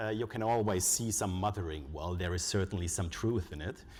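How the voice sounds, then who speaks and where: This man speaks with a German accent. His pace is moderate. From Germany. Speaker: conference speaker, foundation researcher. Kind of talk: conference presentation. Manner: hesitant, with frequent uh fillers.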